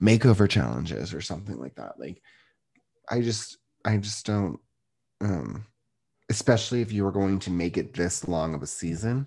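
A man's dark, mellow tone with lively intonation, big swings in loudness and long, frequent pauses against a quiet background. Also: fairly low pitch for a man, moderate pace. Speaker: podcast host, real estate agent. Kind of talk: casual chat, podcast recap. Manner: animated, playful.

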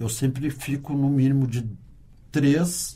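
A man's voice sits at a fairly high pitch, somewhat breathy. His tone is dark and mellow. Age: 60s. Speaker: carnival dancer and sound technician. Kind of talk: interview. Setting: studio.

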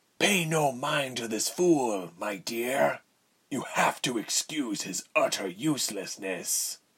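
At a fairly slow pace, a man performs a put-on character voice. It sounds raspy and sits at a medium pitch. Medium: read story. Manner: bored, cold, contemptuous.

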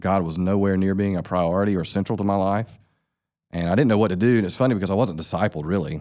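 In a very clean recording with a silent background, a man with a Southern US accent speaks very fast at a very deep, low pitch with fairly even intonation. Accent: Southern US (Georgia). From US South, south Georgia. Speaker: pastor. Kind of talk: casual chat.

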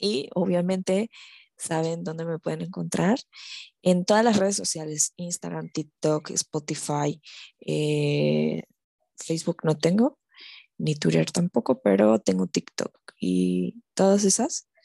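A woman speaks at a very slow pace. The recording is very clean, dry and close, with no echo and a silent background. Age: 20s. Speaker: podcast host. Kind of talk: casual solo monologue. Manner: hesitant, many fillers.

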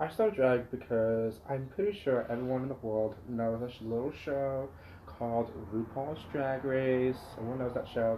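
A man talks with an American accent and ordinary pitch variation. There is noticeable background noise. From Poway, San Diego County, California. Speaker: drag performer, college student. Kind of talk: casual chat. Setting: at his home.

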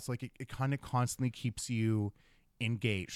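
Recorded very cleanly against a silent background, with a dry, close sound and no echo, a man speaks at medium pitch with a Canadian accent. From Thunder Bay, northern Ontario, Canada. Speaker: cosplayer and performer. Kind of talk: casual chat. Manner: animated.

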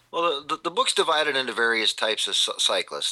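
A man over noticeable background noise. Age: 40s. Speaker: author and English professor. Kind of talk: interview. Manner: halting, repeats words.

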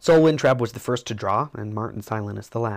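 The voice sounds natural. It is reading aloud.

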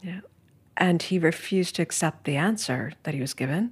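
A woman with an American accent, fairly low-pitched and somewhat breathy, at a moderate pace on a very clean recording with a silent background. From US Northeast, New York City (Manhattan). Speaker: art history professor and author. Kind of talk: casual interview conversation. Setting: in person in New York.

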